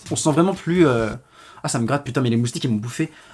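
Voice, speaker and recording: A man speaks with an animated tone, lively intonation, and a somewhat breathy quality. The recording is very clean, with a silent background. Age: young. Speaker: YouTuber. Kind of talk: storytime monologue. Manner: fast.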